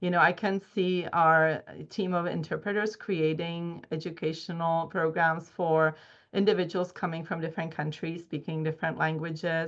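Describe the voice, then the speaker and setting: Speaking at a moderate pace in a Czech accent, a woman uses a fairly low pitch and monotone, flat intonation against a quiet background. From Czech Republic. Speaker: dental hygiene educator and researcher. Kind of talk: research presentation. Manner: halting, with fillers.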